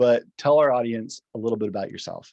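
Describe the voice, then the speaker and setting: A man with an American accent speaks in a dark, mellow tone with ordinary pitch variation. His pace is fairly quick, and the sound is dry and close with no echo. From US South. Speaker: podcast host. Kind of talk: podcast interview.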